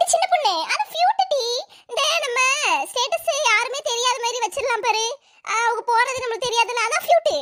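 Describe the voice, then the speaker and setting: In a cartoonish character voice, a woman speaks at a moderate pace with an extremely high pitch and ordinary pitch variation. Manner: gossipy, bossy.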